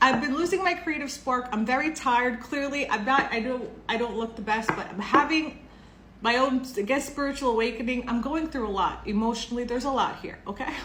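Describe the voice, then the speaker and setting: Audible room echo and noticeable background noise around fairly quick speech. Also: woman. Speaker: tarot reader. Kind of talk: tarot reading monologue. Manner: casual, chatty.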